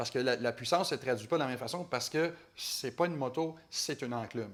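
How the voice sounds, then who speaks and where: A man with a Quebec accent talks at a very fast pace. His medium pitch shows ordinary variation. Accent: Québécois French. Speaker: motorcycle journalist. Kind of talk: casual chat. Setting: studio.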